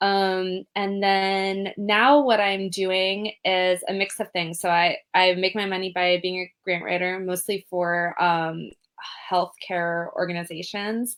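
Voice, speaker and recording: A woman speaks at a medium pitch with a Californian accent. Her delivery is very slow and monotone, with flat intonation. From California, Berkeley. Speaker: trauma and safety educator, grant writer. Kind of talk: interview.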